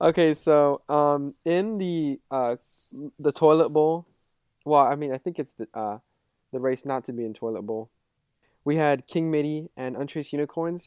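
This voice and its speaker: Moderate pace and ordinary pitch variation, broken by long, frequent pauses. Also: man. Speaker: fantasy football podcast co-host. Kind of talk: casual banter.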